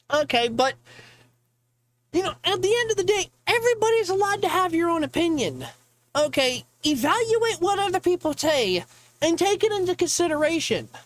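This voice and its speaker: The speaker moves at a fairly quick pace. Long pauses break in often. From Ohio. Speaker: gaming streamer. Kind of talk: casual live-stream rant. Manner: loud when enthusiastic; animated.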